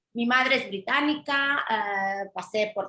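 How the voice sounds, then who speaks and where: Very slowly, a woman speaks in a bright, sharp tone with ordinary pitch variation. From Mallorca, Spain (British mother). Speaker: journalist, food-allergy advocate. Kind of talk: interview testimony.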